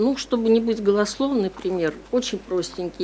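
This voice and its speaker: Over light background noise, the voice moves at a moderate pace with ordinary pitch variation. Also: woman. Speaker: university researcher. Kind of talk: academic discussion question. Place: meeting room. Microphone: podium.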